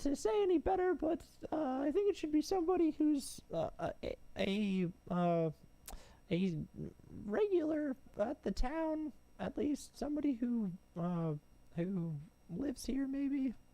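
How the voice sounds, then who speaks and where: Putting on a character voice, a man talks at a moderate pace in an extremely high pitch with very wide pitch swings, leaving long, frequent pauses. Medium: actual play. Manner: hesitant, stammering.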